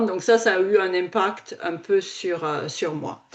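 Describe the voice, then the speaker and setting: Fairly even intonation in a southern French accent. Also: woman. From southern France. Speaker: podcast host. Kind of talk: casual chat.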